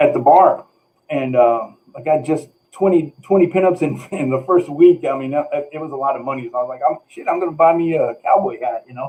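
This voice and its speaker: A man talks in a plain, everyday voice at a fairly quick pace and fairly high pitch. His loudness swings widely while his pitch varies in an ordinary way. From Texas. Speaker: comic book artist. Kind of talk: casual storytelling.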